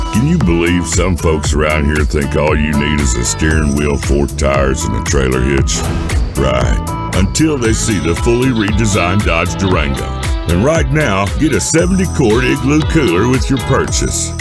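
A man talks at a moderate pace. Clear music plays in the background, and the sound is dry with no echo. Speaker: voice actor. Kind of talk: TV commercial read. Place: booth.

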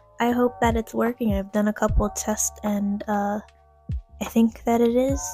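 A woman talks at a moderate pace in a dry recording with no echo. Faint music plays in the background. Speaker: faith vlogger. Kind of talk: casual vlog chat. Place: home room.

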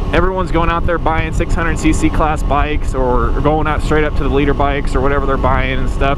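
Loud background noise surrounds a man talking. His fairly quick speech sounds dry, with no echo. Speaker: motorcycle rider vlogger. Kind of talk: casual vlog chat. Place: motorbike. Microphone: helmet.

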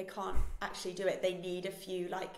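A woman talks fairly quickly at a fairly low pitch in a monotone, flat intonation, with audible room echo.

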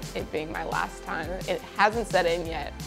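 A woman with a fairly low voice speaks over clear music in the background. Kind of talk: interview answer. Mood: warm, reflective, emotional. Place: home room. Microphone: lapel.

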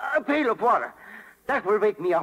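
A man's cartoonish character voice, high-pitched and fairly bright with a slightly husky edge, big pitch swings and a fairly quick pace

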